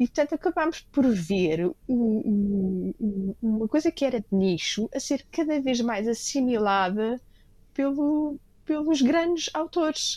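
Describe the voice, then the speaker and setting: Very slowly, a woman speaks in a dark, mellow tone at a high pitch, with very wide pitch swings and very even loudness. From Lisbon, Portugal. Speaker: restaurateur and book editor. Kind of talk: interview conversation.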